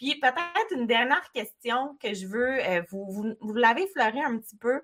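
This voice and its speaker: A woman's ordinary speaking voice with lively intonation and a fairly slow pace, in a very clean recording over a silent background. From Quebec, Côte-Nord (Baie-Comeau). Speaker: podcast host, entrepreneur. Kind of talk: interview.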